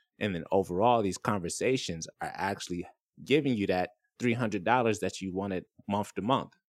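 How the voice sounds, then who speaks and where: A man with an American accent has a plain, everyday voice, fairly low in pitch with ordinary pitch variation. He speaks at a moderate pace in a very clean recording with a silent background. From Florida. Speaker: podcast host. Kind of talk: casual chat.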